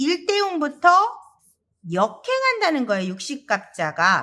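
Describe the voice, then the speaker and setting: This bright, sharp voice moves at a fairly slow pace with very wide pitch swings. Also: woman. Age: 40s. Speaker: saju fortune-telling teacher. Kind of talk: lecture.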